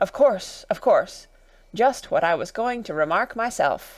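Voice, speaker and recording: A woman speaks fairly slowly in a raspy, high-pitched, put-on character voice, recorded very cleanly against a silent background. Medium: read story.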